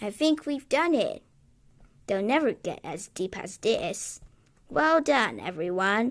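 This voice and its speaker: A woman puts on a character voice with a fairly high pitch at a fairly slow pace. The recording is very clean, with a silent background. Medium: read story.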